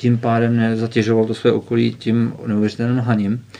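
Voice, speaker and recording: A man speaks at a moderate pace with a medium pitch. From northwestern Bohemia, Czech Republic. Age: 30s. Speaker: author. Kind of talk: interview.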